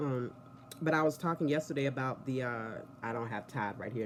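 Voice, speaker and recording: A woman at a very deep, low pitch and a fairly quick pace, with noticeable background noise. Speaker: TV soap opera reviewer. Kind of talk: casual vlog review. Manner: chatty, rambling conversational.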